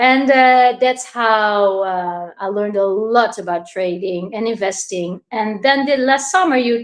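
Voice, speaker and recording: A woman with a Dutch accent, fairly high in pitch, at a fairly slow pace with hardly any pauses. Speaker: crypto investor. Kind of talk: interview. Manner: halting.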